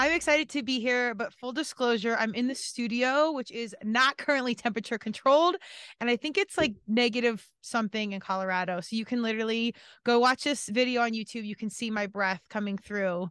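Ordinary pitch variation from a woman at a fairly quick pace. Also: dry sound with no echo. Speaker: podcast host. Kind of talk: casual podcast intro chat. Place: studio. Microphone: studio mic.

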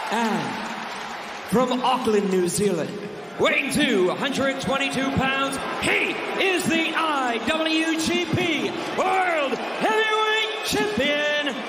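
Loud background noise runs under speech delivered at a very slow pace with long, frequent pauses. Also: man. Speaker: pro wrestling ring announcer. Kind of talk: ring announcement introducing wrestlers for a title match. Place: stadium. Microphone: handheld.

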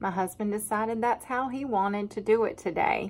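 The voice belongs to a woman. Pitch varies in an ordinary way. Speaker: farm wife vlogger. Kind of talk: casual vlog chat. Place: kitchen. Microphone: phone near.

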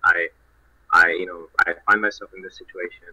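Against a quiet background, a man speaks with a Spanish accent. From Spain. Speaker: social impact fund representative. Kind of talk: online panel discussion. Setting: online group call. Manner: halting, repeats words. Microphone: video call.

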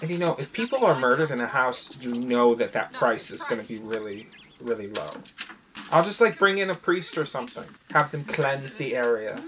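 Lively intonation at a fairly quick pace amid noticeable background noise. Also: man. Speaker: movie reaction creator. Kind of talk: casual reaction commentary. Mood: amused, lightly joking. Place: home room. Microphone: earbuds.

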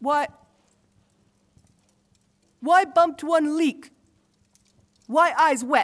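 Using a put-on character voice, a woman talks very slowly at a high pitch. Her tone is fairly bright, with ordinary pitch variation.

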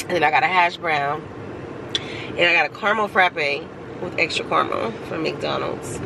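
A woman speaks with a fairly low pitch. The sound is dry with no echo, and noticeable background noise is present. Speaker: vlogger. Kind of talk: casual vlog chat. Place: car. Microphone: phone near.

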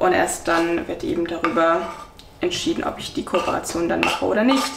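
Over faint background noise, a woman speaks at a fairly low pitch.

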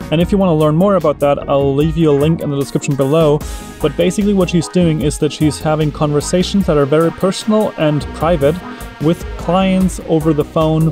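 Fairly quick delivery with fairly even intonation, a dry sound with no echo, and clear music in the background. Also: man. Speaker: travel vlogger. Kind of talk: casual vlog chat. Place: car. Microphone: phone near.

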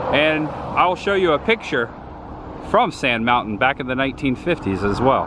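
Over clear background noise, a man speaks at a moderate pace with lively intonation.

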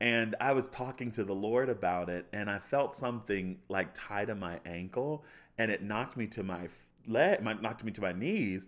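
An animated man with an American accent talks at a moderate pace in a fairly low pitch with ordinary pitch variation. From US, Baltimore suburbs, Maryland. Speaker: chef and pastor. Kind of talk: testimony. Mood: joyful, warm. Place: studio. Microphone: studio mic.

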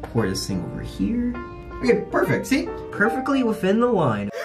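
Clear music in the background behind a man at a moderate pace. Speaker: vlogger. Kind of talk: casual talk to camera. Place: bathroom. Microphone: phone near.

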